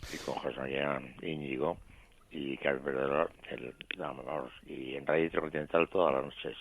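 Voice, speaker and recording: The man's pitch is very deep and low, with vocal fry. He speaks at a moderate pace, his intonation monotone and flat. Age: 70s. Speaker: caller, former radio mentalist. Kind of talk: phone-in call. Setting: phone call.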